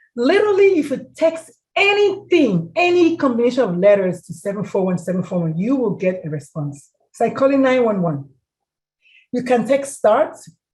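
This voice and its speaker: A woman speaks in an animated tone. Her high voice makes very wide pitch swings. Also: moderate pace. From Nigeria. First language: a Nigerian language. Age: 50s. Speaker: mental health speaker. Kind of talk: presentation with Q&A.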